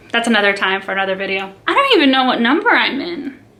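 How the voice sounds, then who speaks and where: A woman talks with noticeable background noise around her. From Brazil (São Paulo), raised in US from age five. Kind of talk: casual chat. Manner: casual, filler-heavy.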